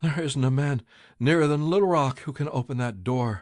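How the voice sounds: A shaky, put-on character voice from a man, fairly high in pitch, at a moderate pace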